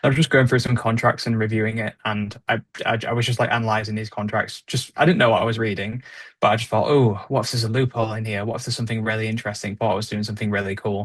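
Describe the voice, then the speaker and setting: Speaking at a very fast pace, a man with medium pitch sounds somewhat breathy. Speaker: podcast co-host, trainee solicitor. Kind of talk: casual podcast discussion.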